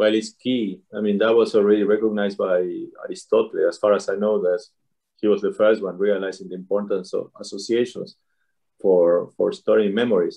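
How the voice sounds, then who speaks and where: A man with a Spanish accent at a fairly quick pace. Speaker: neuroscientist and author. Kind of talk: interview.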